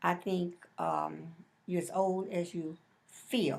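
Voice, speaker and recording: A woman's fairly low voice carries noticeable vocal fry. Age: 60s. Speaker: interviewee, mother of the interviewer. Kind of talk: interview. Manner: halting.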